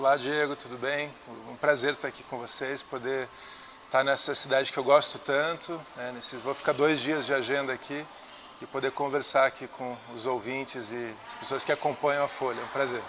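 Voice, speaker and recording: There is noticeable background noise. Over it, a man speaks in a monotone with flat intonation. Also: fairly high pitch for a man, moderate pace, big swings in loudness. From Brazil, Curitiba (Paraná). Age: 40s. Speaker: politician. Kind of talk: interview.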